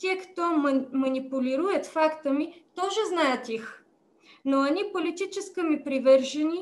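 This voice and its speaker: A woman with a high voice talks at a very slow pace. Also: ordinary pitch variation. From Bulgaria. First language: Bulgarian (speaking Russian). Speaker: politician. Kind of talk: prepared speech. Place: home room. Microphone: video call.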